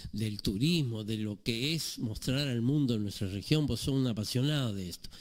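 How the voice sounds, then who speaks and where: There is audible room echo around this man's medium-pitched voice. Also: ordinary pitch variation, moderate pace. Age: 70s. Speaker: author. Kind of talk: radio interview.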